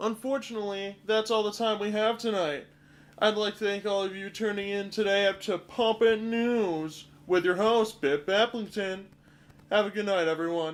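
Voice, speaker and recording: A man puts on a character voice, high-pitched and at a moderate pace. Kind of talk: mock TV news anchor.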